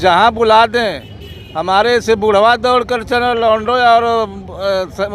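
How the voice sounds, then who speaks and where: Noticeable background noise can be heard throughout. The speaker's intonation is fairly even. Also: man, high pitch for a man. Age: 70s. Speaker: local party official and doctor. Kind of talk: street interview.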